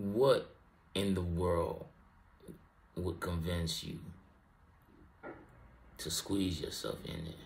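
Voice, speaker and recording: A man speaks very slowly in a fairly low, somewhat breathy voice. Light background noise is present. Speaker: reaction video host. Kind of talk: casual reaction commentary. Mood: incredulous, joking. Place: home room. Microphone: studio mic.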